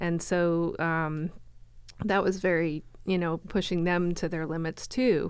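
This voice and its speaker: Using a normal speaking voice, a woman talks fairly slowly at a fairly low pitch with fairly even intonation. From Florida. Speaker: chamber of commerce director. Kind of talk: casual interview. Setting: studio.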